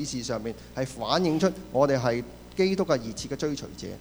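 A man with a fairly high pitch delivers his words at a fairly quick pace. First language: Cantonese. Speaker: church interpreter. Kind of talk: sermon interpretation. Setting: church.

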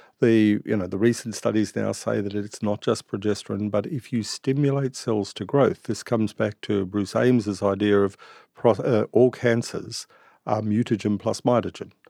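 This voice has a dark, mellow tone and an Australian accent, with fairly even intonation at a moderate pace. The recording is very clean, with a silent background. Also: man, fairly low pitch for a man, dry, close sound with no echo. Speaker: integrative medicine doctor. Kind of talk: interview. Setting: studio.

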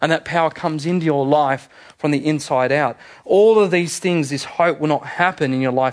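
Pitched fairly high, a man talks at a fairly quick pace in an animated tone with ordinary pitch variation. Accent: Australian. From Australia, Sydney. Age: 30s. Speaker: pastor. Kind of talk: sermon.

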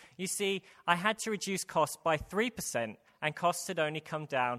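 A man with a British accent speaks in a high pitch with lively intonation and a bright, sharp tone. The recording is very clean and dry, close with no echo, over a silent background. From UK. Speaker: preacher. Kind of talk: sermon. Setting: church.

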